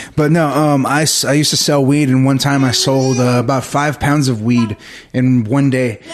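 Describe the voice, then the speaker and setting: A man keeps his intonation fairly even as noticeable background noise sounds behind him. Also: very even loudness. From Texas, Victoria. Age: 30s. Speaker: comedian. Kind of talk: casual chat.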